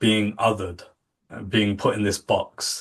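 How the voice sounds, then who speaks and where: Against a quiet background, a man with a British accent talks at a fairly low pitch. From England. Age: 40s. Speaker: contact centre industry professional. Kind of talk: podcast interview.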